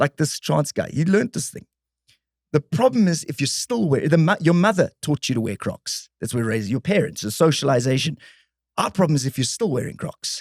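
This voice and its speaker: On a very clean recording with a silent background and a dry, close sound with no echo, a man speaks at a fairly high pitch and a moderate pace. His tone is animated and somewhat breathy, with very wide pitch swings. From South Africa. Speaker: ventriloquist comedian. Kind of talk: casual chat.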